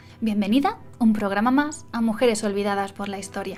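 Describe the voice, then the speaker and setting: With music in the background, a woman speaks at a moderate pace and a fairly high pitch, showing ordinary pitch variation. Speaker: illustrator, graphic designer. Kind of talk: biographical narration.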